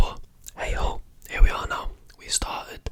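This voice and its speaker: Someone whispers over noticeable background noise. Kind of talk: ASMR whisper ramble, casual talk to camera. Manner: whispered, soft, chatty.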